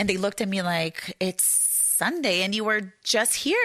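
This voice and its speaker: With a Brazilian accent, a woman speaks at a moderate pace in a bright, sharp tone, her pitch medium and her intonation lively. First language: Portuguese. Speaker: journalist and author. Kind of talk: author talk. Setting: bookstore with live audience. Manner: halting, many fillers.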